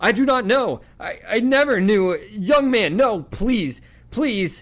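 Using a put-on character voice, a man speaks slowly at a high pitch with lively intonation.

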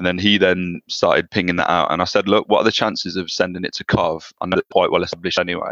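Heard dry and close with no echo, a man is speaking. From South Birmingham, England. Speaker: rugby league player and army soldier. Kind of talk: interview.

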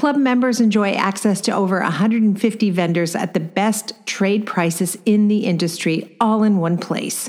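A woman talks at a moderate pace with a medium pitch and ordinary pitch variation. Her loudness stays very even and she hardly pauses at all. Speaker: podcast host and design business coach. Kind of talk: casual interview.

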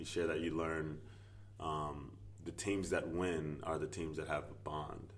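A man speaks in a very deep, low voice at a fairly slow pace. His intonation stays fairly even. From US South, rural Virginia. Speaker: basketball coach and former pro player. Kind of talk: casual interview. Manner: filler-heavy, halting.

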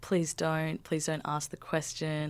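A woman with an Australian accent, at a moderate pace. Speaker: researcher, thesis author on African hair. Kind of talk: interview.

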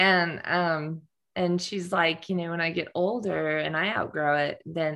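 With an American accent and a normal speaking voice, a woman talks at a moderate pace, her pitch fairly low and her intonation fairly even. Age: 50s. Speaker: nonprofit founder and coach. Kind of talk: interview.

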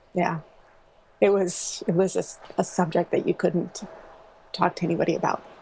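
With an American accent, a woman speaks at a medium pitch and a moderate pace, her intonation fairly even and broken by long, frequent pauses. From US Pacific Northwest. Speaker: small business owner and graphic designer. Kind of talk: interview about personal loss. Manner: halting, many fillers.

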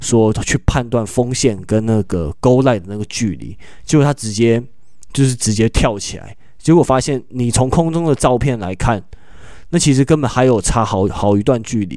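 Medium pitch from a man, with a dark, mellow tone. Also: ordinary pitch variation, moderate pace. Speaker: sports podcast host. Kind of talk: casual sports analysis chat.

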